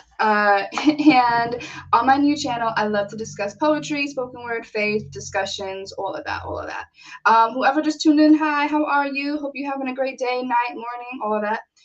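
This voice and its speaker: Big swings in loudness and ordinary pitch variation come through over noticeable background noise. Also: woman, high pitch for a woman, moderate pace. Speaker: poet. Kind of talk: casual live stream talk to camera.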